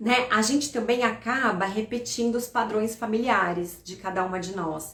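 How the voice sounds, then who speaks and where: Through noticeable background noise and audible room echo, a woman speaks with a fairly high pitch. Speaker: financial educator. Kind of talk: live stream talk. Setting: live stream.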